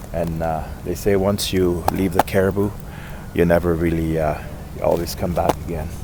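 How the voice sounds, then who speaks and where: Over noticeable background noise and audible room echo, a man speaks at a moderate pace in a very deep, low pitch with monotone, flat intonation. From Germany, moved to British Columbia as a child. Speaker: outdoor vlogger. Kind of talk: casual vlog narration. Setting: outdoors by a river. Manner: halting with many fillers.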